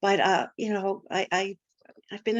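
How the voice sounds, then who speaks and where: Medium pitch in a woman's speaking voice. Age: 60s. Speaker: tarot reader. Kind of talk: interview. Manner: halting.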